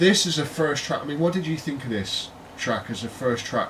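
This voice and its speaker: A man with a British accent speaks at a moderate pace, his pitch fairly high and his intonation lively. Noticeable background noise and audible room echo are present. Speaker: podcast co-host. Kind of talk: casual chat.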